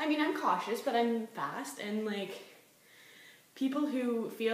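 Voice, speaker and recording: A woman speaks over noticeable background noise. Room echo is audible too. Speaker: vlogger. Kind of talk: casual monologue vlog. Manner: fast; animated.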